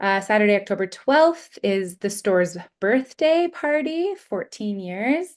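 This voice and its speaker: A woman speaks with hardly any pauses, her pitch swinging very widely. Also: fairly high pitch for a woman. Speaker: literary event host. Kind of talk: online event announcements. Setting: online livestream. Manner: fast.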